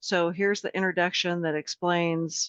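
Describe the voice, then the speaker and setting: A woman speaks in an ordinary speaking voice, fairly low in pitch. Her intonation is fairly even and her pace moderate. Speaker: legislative information staffer. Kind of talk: tutorial. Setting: video call.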